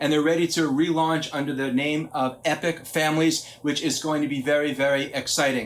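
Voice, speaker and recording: Intonation stays monotone and flat. The man speaks at a fairly quick pace. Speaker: psychologist and parenting speaker. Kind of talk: lecture. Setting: conference talk.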